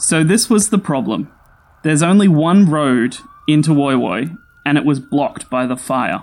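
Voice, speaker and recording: Talking at a fairly slow pace in an Australian accent, the speaker uses lively intonation and long, frequent pauses. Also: man. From Australia, Sydney. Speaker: storyteller. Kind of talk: scripted narration.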